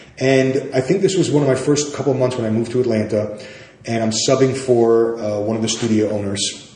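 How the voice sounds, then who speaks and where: With a New York accent, a man talks at a very fast pace in a medium pitch with ordinary pitch variation, amid noticeable background noise and audible room echo. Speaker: yoga teacher. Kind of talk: interview conversation. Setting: podcast recording.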